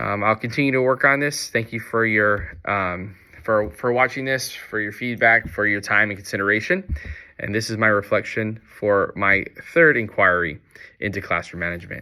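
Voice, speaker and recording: A man speaks at a moderate pace. His pitch is fairly low, with ordinary variation. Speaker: teacher. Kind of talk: reflection monologue. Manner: hesitant, many fillers.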